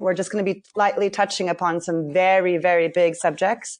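Fairly even in intonation, a woman has a normal speaking voice at medium pitch against a quiet background. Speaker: spiritual teacher and trauma healer. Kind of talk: casual chat.

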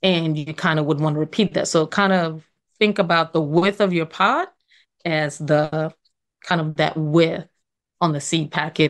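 In a quiet background, a woman speaks with an American accent in an unremarkable speaking voice. Her pitch is fairly low, her intonation fairly even and her pace moderate. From New York. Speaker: urban farmer. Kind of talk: interview.

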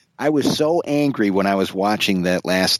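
In an ordinary speaking voice, a man with a fairly low pitch talks at a moderate pace with ordinary pitch variation, the sound dry and close with no echo. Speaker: film podcast panelist. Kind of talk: casual chat.

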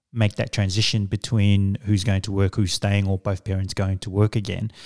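A man speaks at a fairly low pitch with a dark, mellow tone. The sound is dry and close with no echo, a very clean recording over a silent background. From Samoa, then New Zealand from age 10. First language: Samoan. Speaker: executive coach and business consultant. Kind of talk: interview conversation. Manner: hesitant with fillers.

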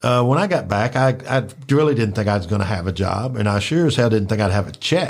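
In a Memphis accent, a man with a medium pitch talks at a very fast pace with hardly any pauses, lively intonation and very even loudness, on a very clean recording with a silent background. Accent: Memphis Southern US. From Memphis, Tennessee (Orange Mound). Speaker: wrestling podcaster. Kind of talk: casual chat.

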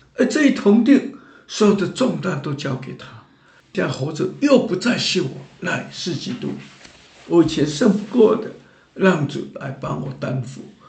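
With audible room echo, a man talks at a fairly slow pace in a high pitch, his voice swinging very widely in pitch and greatly in loudness. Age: 70s. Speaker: church minister. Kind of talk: testimony. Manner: animated.

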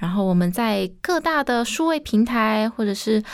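A woman with a plain, everyday voice and a fairly high pitch speaks at a moderate pace in a very clean recording with a silent background. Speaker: singer. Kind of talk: radio DJ presentation.

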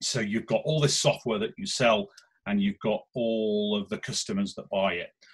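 A man with a Lancashire accent speaks with very wide swings in pitch. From northern England, Lancashire. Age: 40s. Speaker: business investor. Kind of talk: interview. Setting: outdoors in back garden. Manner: halting, repeats words.

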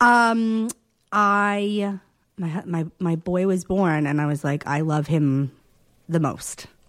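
A woman speaking at a very slow pace with ordinary pitch variation, on a very clean recording with a silent background. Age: 30s. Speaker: TV producer. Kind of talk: casual chat. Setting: living room.

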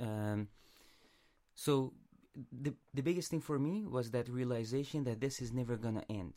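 A man speaks with a dark, mellow tone at a medium pitch and a moderate pace. He takes long, frequent pauses, and his pitch varies in an ordinary way. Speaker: podcast producer. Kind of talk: casual podcast chat.

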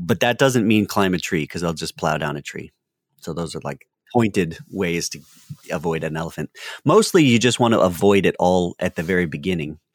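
A man with an American accent has a very deep, low pitch and ordinary pitch variation, recorded dry and close with no echo on a very clean track with a silent background. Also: moderate pace. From US South, North Carolina. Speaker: biologist and TV presenter. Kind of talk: casual chat.

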